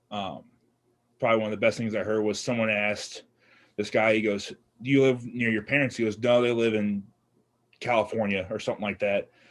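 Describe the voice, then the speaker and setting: In a very clean recording with a silent background, a man talks with an American accent at a medium pitch. His fairly quick delivery is monotone and flat, broken by long, frequent pauses. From St. Louis, Missouri, US Midwest. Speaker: fitness podcast co-host. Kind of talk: casual chat.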